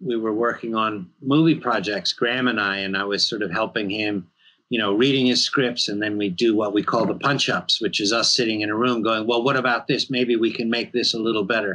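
A man with an American accent and a bright, sharp tone speaks at a fairly quick pace with fairly even intonation and hardly any pauses, over a quiet background. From New York. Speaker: horror filmmaker and game writer. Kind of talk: interview. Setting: video call. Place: home room.

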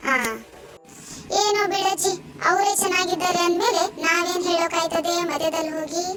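In a cartoonish character voice, a woman speaks at an extremely high pitch and a fairly slow pace. Her loudness stays very even over loud background noise. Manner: chatty, easygoing.

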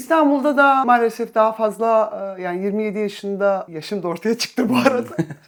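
A woman speaks in an unremarkable speaking voice with a fairly high pitch. Her pace is moderate and her pitch variation ordinary. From Istanbul, Turkey. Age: 50s. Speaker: musician. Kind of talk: casual chat.

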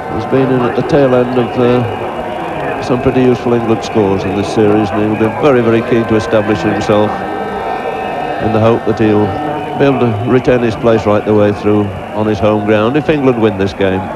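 A man talks at a fairly quick pace. The sound is dry with no echo, but loud background noise is present. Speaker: cricket commentator. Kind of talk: commentary.

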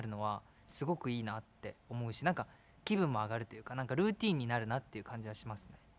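With lively intonation, a man delivers his words. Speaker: actor in a commercial shoot. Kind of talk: interview answer. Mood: cheerful, laughing. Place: studio.

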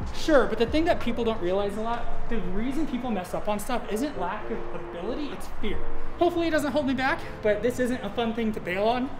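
The speaker talks at a fairly quick pace. Music plays in the background. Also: woman. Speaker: vlog host trying the course. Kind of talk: casual vlog chat. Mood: nervous but joking. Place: gym.

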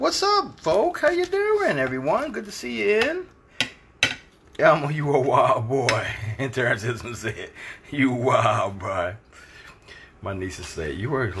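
A man talks at a fairly slow pace with long, frequent pauses. Noticeable background noise runs underneath. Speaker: home cook hosting a livestream. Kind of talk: casual cooking livestream chat. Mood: relaxed, laughing. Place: kitchen. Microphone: phone near.

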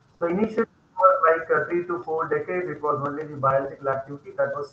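Over light background noise and audible room echo, a man with an Indian accent talks at a very fast pace in a fairly high pitch with ordinary pitch variation. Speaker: pharmacy professor. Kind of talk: lecture. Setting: video call. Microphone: video call.

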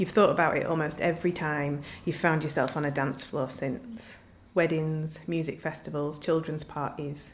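A woman's very deep, low voice with a Yorkshire accent, ordinary pitch variation and a moderate pace, over light background noise. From northern England, Doncaster; northern England. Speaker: writer. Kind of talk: reading aloud. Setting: live literature event. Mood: calm, reflective.

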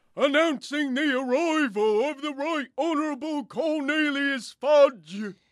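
A loud, put-on character voice from a man, pitched extremely high, at a fairly slow pace. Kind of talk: comic sketch acting. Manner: announcing loudly.

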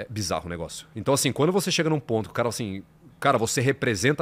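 This voice races along at a very fast pace with vocal fry and very wide pitch swings. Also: man. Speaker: podcast guest. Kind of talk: interview answer. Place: studio. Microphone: studio mic.

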